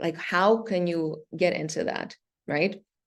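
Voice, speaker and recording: A woman's voice at a medium pitch, with ordinary pitch variation. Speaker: startup venture manager, workshop speaker. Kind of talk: workshop presentation. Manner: fast.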